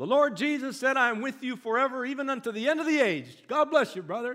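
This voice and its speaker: A man's put-on character voice, guttural and extremely high-pitched, at a very fast pace. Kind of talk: pious, preacher-like.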